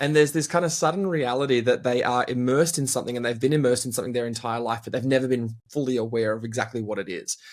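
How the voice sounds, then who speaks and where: Very fast talk from a man with an Australian accent, hardly any pauses and ordinary pitch variation, on a very clean recording with a silent background. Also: medium pitch for a man. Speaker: team culture consultant and speaker. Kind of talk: interview conversation.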